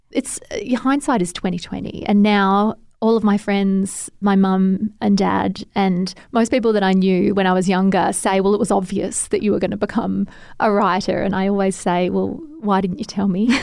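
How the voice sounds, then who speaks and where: A woman talks with an Australian accent and fairly even intonation. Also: medium pitch for a woman, moderate pace, very clean recording, silent background. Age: 40s. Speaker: novelist. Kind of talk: interview.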